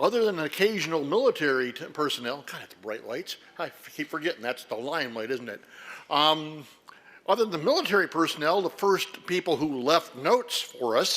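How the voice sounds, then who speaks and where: Loud and fairly quick, a man speaks with a fairly high pitch, a bright, sharp tone and lively intonation. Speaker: historian and lecturer. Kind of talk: lecture. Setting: stage with audience, lights.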